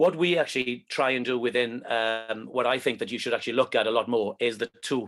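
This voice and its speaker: A man's plain, everyday voice at a medium pitch, fairly quick, with ordinary pitch variation. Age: 50s. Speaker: presenter and movement skills coach. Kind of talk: online presentation talk.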